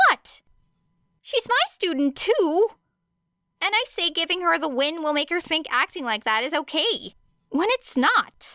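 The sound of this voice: In a put-on character voice, a woman speaks at an extremely high pitch with big pitch swings, a bright, sharp tone and a fairly slow pace. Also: dry, close sound with no echo.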